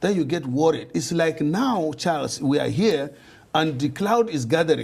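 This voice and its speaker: A man with a fairly high pitch and vocal fry speaks at a moderate pace with ordinary pitch variation. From Nigeria. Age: 60s. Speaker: politician. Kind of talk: interview.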